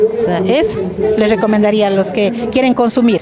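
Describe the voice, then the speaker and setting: Over noticeable background noise, a woman with a fairly high pitch talks at a moderate pace in a dry sound with no echo. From Pimampiro, Imbabura, Ecuador. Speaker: rural women's group representative. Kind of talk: interview. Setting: outdoors at a seed fair. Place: street.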